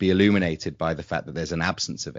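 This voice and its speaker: A man in a southern English accent speaks with a very deep, low pitch. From England, London. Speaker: podcast co-host. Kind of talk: casual interview chat.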